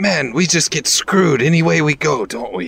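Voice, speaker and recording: A man puts on a raspy character voice, pitched fairly high for a man, at a moderate pace. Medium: actual play. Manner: halting, simple speech.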